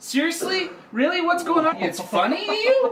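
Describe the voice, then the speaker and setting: A man's angry tone at a fairly quick pace, with very wide pitch swings and noticeable background noise. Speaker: comedy podcast co-host. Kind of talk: casual comedic chat. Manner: loud, mock-angry ranting.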